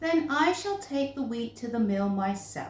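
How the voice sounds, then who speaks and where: A woman does a put-on character voice at a high pitch, with a slight echo. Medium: read story.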